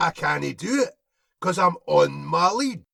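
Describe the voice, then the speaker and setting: Putting on a character voice in a Scottish accent, a man speaks at a very slow pace, raspy throughout. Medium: read story. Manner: cocky, sarcastic, chatty.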